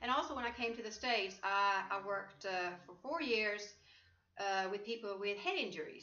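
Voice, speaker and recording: A woman's medium-pitched voice at a moderate pace, with ordinary pitch variation and audible room echo. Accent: Swedish. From Sweden. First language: Swedish. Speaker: life coach. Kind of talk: interview. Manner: halting.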